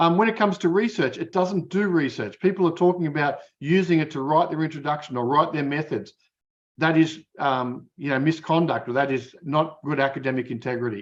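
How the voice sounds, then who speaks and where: A fairly quick pace with ordinary pitch variation. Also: man, fairly high pitch for a man. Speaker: academic keynote speaker. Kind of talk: keynote lecture. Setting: conference keynote. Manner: fast; hesitant, many fillers.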